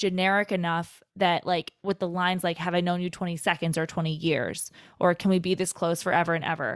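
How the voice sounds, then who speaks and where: Very clean recording, silent background, and a woman with an unremarkable speaking voice. She talks at a fairly low pitch and a fairly quick pace. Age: 20s. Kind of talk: casual chat.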